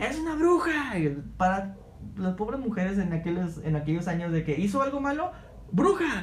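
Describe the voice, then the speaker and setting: A man talks at a moderate pace with very wide swings in pitch, with audible room echo and noticeable background noise. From Mexico, Altamira, Tamaulipas. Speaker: podcast co-host. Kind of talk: casual chat.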